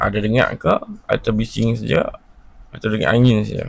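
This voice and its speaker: A man is speaking. His voice is very deep and low. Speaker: tech gadget vlogger. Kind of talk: product review. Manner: casual, conversational.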